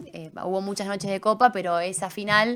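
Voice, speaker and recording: An ordinary speaking voice from a woman, medium in pitch, fairly quick, with fairly even intonation. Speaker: sports journalist. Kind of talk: casual interview. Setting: studio.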